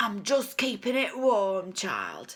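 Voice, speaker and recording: A put-on character voice that sounds female is pitched fairly high. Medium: read story. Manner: menacing, contemptuous.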